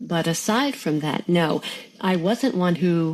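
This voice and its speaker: A woman speaks with an American accent and a fairly low pitch. It's a normal speaking voice with ordinary pitch variation. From US, Pennsylvania (Bethlehem). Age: 60s. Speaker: mother of four, former nursing student. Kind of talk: interview testimony.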